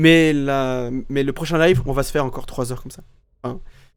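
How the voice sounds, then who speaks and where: Audible room echo around a man at medium pitch, moderately paced. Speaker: streamer. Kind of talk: live gameplay commentary. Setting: live stream. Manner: loud; halting, many repetitions.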